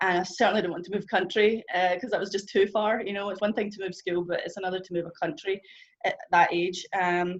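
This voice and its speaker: A strong Scottish accent at a fairly quick pace. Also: woman, medium pitch for a woman, fairly even intonation. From Scotland. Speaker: churchgoer sharing testimony. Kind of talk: testimony. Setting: church group gathering with audience. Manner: fast.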